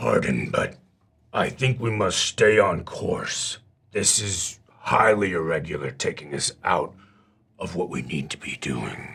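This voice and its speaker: A man speaks at a fairly slow pace in a put-on character voice that is raspy and fairly low-pitched. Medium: actual play. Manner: blunt, grumbling.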